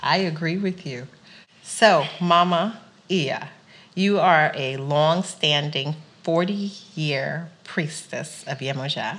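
In a New York accent, a woman speaks at a very slow pace. Her pitch is fairly low, with ordinary pitch variation. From New York (Queens). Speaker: podcast host. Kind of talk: interview.

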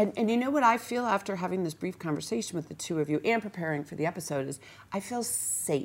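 Speaking very fast at medium pitch, a woman uses an animated tone with very wide pitch swings. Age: 50s. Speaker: talk show host. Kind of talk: interview chat.

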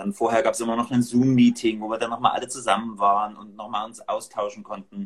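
A man at a fairly quick pace in a monotone, flat intonation. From Dresden, Saxony. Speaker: church leader. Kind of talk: casual discussion.

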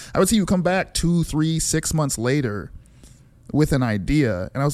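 Lively intonation in an unremarkable speaking voice, at a moderate pace. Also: man. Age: 40s. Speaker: musician. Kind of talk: casual chat.

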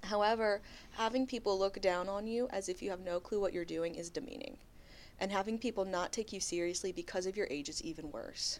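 On a very clean recording with a silent background, a woman uses a normal speaking voice at a medium pitch, a fairly quick pace and ordinary pitch variation. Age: 20s. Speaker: podcast co-host. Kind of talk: casual chat; reading aloud.

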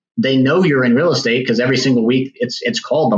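A man with an American accent talks at a very fast pace in a medium pitch, sounding somewhat breathy. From Virginia. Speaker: real estate agent. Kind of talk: podcast interview.

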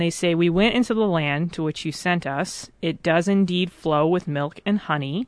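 This woman has a normal speaking voice, pitched fairly low, with ordinary pitch variation at a moderate pace. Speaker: faith formation director. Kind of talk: interview discussion. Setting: studio.

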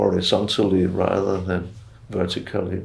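A man speaks with a Danish accent. Noticeable background noise sits behind him. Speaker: retired professor of global health, doctor. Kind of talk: interview.

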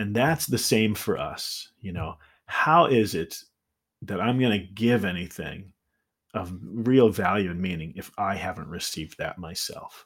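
A plain, everyday voice: a man at a fairly low pitch with ordinary pitch variation and a fairly slow pace, in a very clean recording with a silent background. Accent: American. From US Midwest, Indiana. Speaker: wilderness school founder and nature mentor. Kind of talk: podcast interview.

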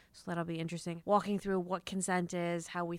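Someone with an American accent speaks at a fairly quick pace in a very clean recording with a silent background. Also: woman. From Chicago suburbs. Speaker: surgery resident and podcast host. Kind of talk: casual chat. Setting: conference room.

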